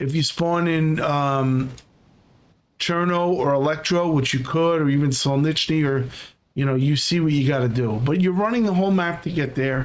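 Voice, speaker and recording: Audible room echo surrounds a man with a fairly high voice. He talks at a moderate pace with very even loudness and ordinary pitch variation. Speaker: gaming streamer. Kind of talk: gameplay commentary.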